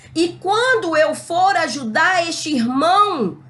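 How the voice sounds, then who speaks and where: A loud woman's voice with very wide pitch swings and audible room echo. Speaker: Bible teacher. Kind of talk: Bible lesson. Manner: not gentle, can sound hard. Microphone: records without a microphone.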